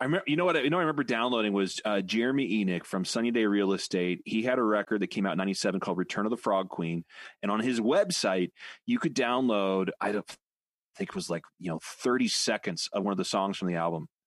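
A man at a very fast pace, intonation lively, the background quiet. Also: fairly low pitch for a man, dry, close sound with no echo. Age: 40s. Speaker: podcast co-host. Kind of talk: casual chat. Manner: many fillers and restarts.

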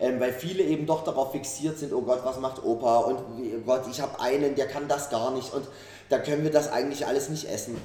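A man speaks at a medium pitch and a fairly quick pace, with fairly even intonation. Room echo is audible and background noise is noticeable. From Saxony, Germany (Dresden). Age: 30s. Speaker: chef and restaurant owner. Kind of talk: interview. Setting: restaurant.

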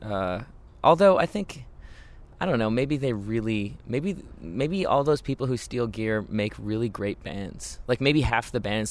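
A man speaks in an ordinary speaking voice at medium pitch. His intonation is lively and his pace fairly slow. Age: 30s. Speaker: musician, band singer and keyboardist. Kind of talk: casual interview. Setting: outdoors in a garden.

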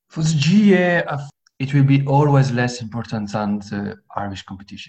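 The man's voice has a somewhat breathy quality. He keeps to a moderate pace. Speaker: amateur Gaelic football player and IT officer.

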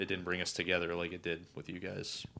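A man with a Northern Ohio accent speaks with a very deep, low pitch and a bright, sharp tone in a very clean recording with a silent background. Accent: Northern Ohio, general American. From Cleveland, Ohio. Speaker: guest. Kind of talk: casual chat.

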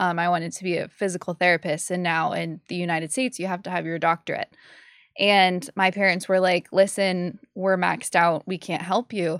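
A woman with an American accent talks at a fairly quick pace, her pitch fairly low and her intonation fairly even. The recording is very clean and dry, close with no echo, over a silent background. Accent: Boston-area New England, mostly suppressed. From Massachusetts. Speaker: disc golf commentator and podcaster. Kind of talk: casual chat.

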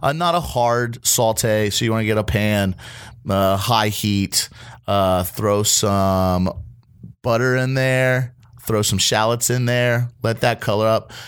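In a very clean recording with a silent background, a man speaks at a very slow pace with very even loudness. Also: medium pitch for a man, ordinary pitch variation. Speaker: podcast host and line cook. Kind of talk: casual chat; cooking instructions. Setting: studio.

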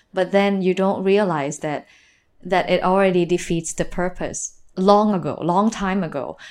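At a fairly slow pace, a woman with a Thai accent talks at a medium pitch with fairly even intonation. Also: very clean recording, silent background. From Northeast Thailand, Nakhon Ratchasima. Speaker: physical theater performer. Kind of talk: interview.

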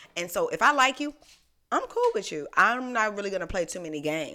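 A very fast pace, an animated delivery, and a bright, sharp tone. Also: woman. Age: 20s. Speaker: podcast co-host. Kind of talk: casual chat.

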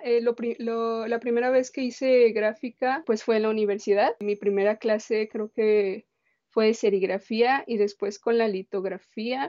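A plain, everyday voice at a fairly slow pace. The intonation stays fairly even. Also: woman. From Mexico, Guadalajara (Jalisco). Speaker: printmaker and visual artist. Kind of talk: interview conversation.

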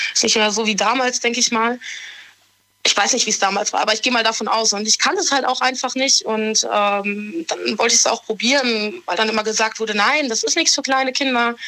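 A woman speaks at a fairly quick pace in a fairly high pitch with ordinary pitch variation and an ordinary speaking voice. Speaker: caller. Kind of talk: confessional phone call.

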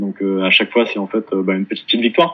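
A man speaks with fairly even intonation. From Paris, France. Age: 30s. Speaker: sales manager at a start-up. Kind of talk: interview testimony. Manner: halting, many repetitions.

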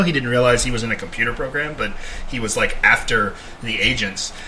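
A man talks at a moderate pace with noticeable background noise around him. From grew up abroad in England and Germany, military family. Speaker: podcast co-host, gamer. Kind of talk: casual chat.

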